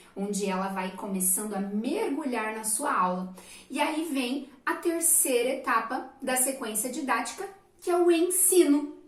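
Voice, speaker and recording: Amid audible room echo, a woman with a high pitch speaks in an animated tone at a fairly slow pace with very wide pitch swings. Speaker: teacher. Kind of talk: lecture. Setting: recorded at a computer desk.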